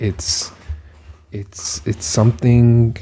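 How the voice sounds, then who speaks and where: The man's voice is somewhat breathy. It carries a dark, mellow tone. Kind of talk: casual rambling monologue to camera. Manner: rambling, hesitant, repeats words, conversational.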